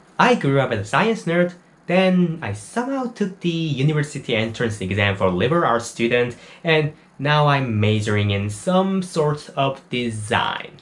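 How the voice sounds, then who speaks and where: With a Korean accent, the speaker moves at a moderate pace through very wide pitch swings. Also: man, fairly high pitch for a man. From South Korea. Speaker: university student and small YouTuber. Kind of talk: personal testimony. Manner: non-native, somewhat halting English.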